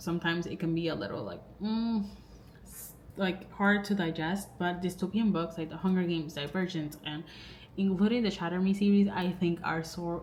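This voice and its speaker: Audible room echo surrounds a woman with a non-native accent. She speaks fairly low at a moderate pace with fairly even intonation. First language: not English. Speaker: book vlogger. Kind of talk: casual vlog talk to camera. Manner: rambling, filler-heavy.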